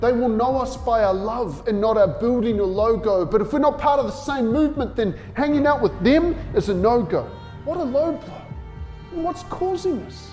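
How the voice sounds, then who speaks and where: Over music in the background, a man with an extremely high pitch speaks at a moderate pace with lively intonation. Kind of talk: spoken word poetry, passionate sermon-like delivery.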